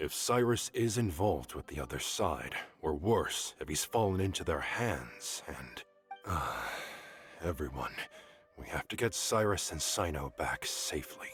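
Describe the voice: With faint music in the background, a man in a put-on character voice speaks at a fairly slow pace and an extremely low pitch, with a husky, rough edge, a fairly bright tone and lively intonation.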